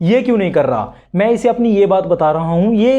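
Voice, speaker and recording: The man's high voice carries a dark, mellow tone, moving at a moderate pace with ordinary pitch variation. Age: 20s. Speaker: self-improvement YouTuber. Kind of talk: casual talk to camera.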